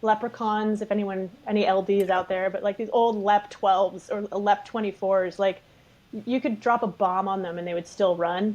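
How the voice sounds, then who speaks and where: Against a quiet background, a woman with a normal speaking voice and a Canadian accent speaks at a medium pitch and moderate pace, her intonation fairly even. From Canada. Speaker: film assistant director. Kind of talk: podcast interview answer. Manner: casual, candid.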